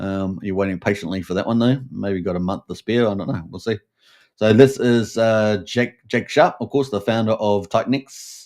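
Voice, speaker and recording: Speaking with a New Zealand accent at a moderate pace, the voice shows ordinary pitch variation in a very clean recording with a silent background. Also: man, fairly low pitch for a man. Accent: Kiwi. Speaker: crypto show host. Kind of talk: live stream commentary. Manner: many fillers and hesitations.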